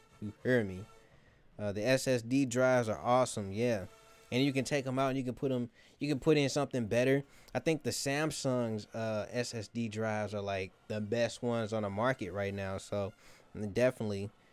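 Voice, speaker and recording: Music plays in the background while the speaker talks at a fairly quick pace. The pitch varies in an ordinary way. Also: man, medium pitch for a man. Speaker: graphic design youtuber. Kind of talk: live stream tutorial. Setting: live stream. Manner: slurred words; casual, filler-heavy.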